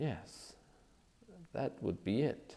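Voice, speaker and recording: Dark, mellow tone in a man's voice. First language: not English. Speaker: audiobook narrator. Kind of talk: reading aloud.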